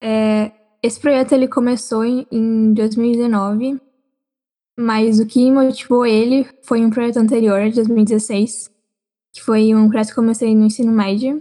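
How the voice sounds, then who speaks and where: Her tone is dark and mellow, and a woman speaks with fairly high pitch. The delivery is fairly slow, with monotone, flat intonation. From São Paulo, Brazil. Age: 20. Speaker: student, project founder. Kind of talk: casual chat.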